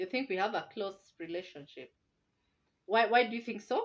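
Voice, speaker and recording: This woman talks at a medium pitch and a moderate pace. Her intonation is lively and her tone animated. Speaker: parenting vlogger. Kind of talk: casual chat. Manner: loud.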